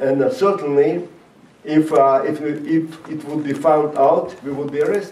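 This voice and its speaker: Against audible room echo, a man with a non-native accent speaks at a moderate pace, his fairly high pitch showing ordinary variation. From Latvia (Riga), Soviet Union. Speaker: rabbi and former Soviet prisoner. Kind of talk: talk to high school students. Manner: halting, many fillers.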